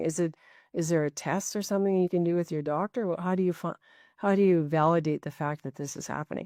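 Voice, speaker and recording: A woman with an unremarkable speaking voice talks at a fairly quick pace, her pitch fairly low with ordinary variation. The sound is dry and close with no echo, over a quiet background. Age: 60s. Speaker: podcast host. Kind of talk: podcast interview.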